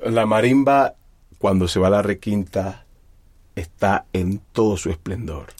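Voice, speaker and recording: The man's pitch is fairly low. He leaves long, frequent pauses. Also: ordinary pitch variation. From Colombian Pacific coast, Timbiquí (Cauca). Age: 30s. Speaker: musician. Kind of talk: interview. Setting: studio.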